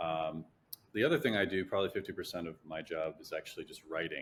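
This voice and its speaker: A man with a Chicago-area accent talks at a fairly quick pace. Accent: Chicago-area American English. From US Midwest, Chicago area. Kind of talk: interview testimony; casual interview chat. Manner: halting, many fillers and repeats.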